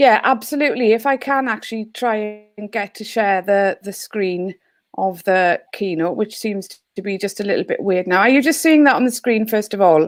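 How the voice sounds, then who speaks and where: With a Welsh accent, a woman speaks at a moderate pace with hardly any pauses, using a fairly high pitch and ordinary pitch variation. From Wales. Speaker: teacher and education consultant. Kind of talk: online panel discussion.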